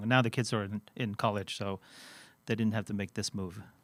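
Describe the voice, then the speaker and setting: Speaking at a fairly quick pace, a man with a Swedish accent has a fairly low pitch, a bright, sharp tone and fairly even intonation on a very clean recording with a silent background. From Sweden. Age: 50s. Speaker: finance executive. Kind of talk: interview.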